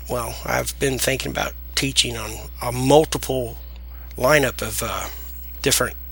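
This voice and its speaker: A man talks at a fairly slow pace in a strong Southern US accent. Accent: deep Southern US. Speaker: software tutorial creator. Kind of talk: tutorial. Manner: casual, hesitant with fillers.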